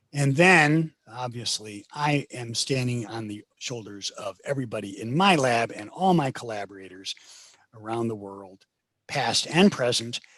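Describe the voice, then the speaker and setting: A man with an unremarkable speaking voice of medium pitch talks at a fairly slow pace, his intonation lively and his loudness swinging a lot. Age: 60s. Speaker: professor, plant geneticist. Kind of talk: lecture. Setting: video call.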